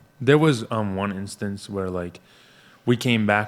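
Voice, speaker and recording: Moderate-paced speech from a man with a normal speaking voice and fairly low pitch. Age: young. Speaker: young political activist. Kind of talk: casual interview.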